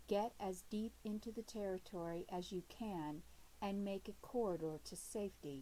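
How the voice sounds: The pitch varies in an ordinary way. The voice is a natural reading voice.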